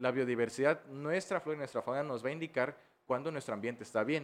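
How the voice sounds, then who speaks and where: It is an ordinary speaking voice from a man. His pitch is medium, with ordinary pitch variation. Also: very clean recording, silent background. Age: 20s. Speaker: biology student and environmentalist. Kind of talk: interview conversation.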